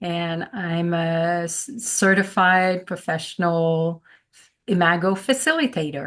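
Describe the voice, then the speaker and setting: A woman with a French accent speaks at a very slow pace in a fairly low pitch. Her pitch varies in an ordinary way against a quiet background. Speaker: relationship facilitator. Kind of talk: casual chat.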